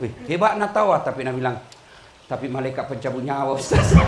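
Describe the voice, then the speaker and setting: Speech comes at a very fast pace in a South Sulawesi accent. Background noise is noticeable. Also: man. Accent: Bugis-accented Indonesian. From Makassar, South Sulawesi. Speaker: Islamic preacher. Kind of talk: humorous religious sermon. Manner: humorous.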